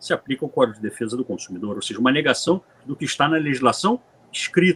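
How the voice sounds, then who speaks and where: The sound is dry and close with no echo as a man speaks at a fairly high pitch with lively intonation. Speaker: lawyer, panelist on cooperative law. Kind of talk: panel presentation. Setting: conference panel. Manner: hesitant, frequent filler 'é'.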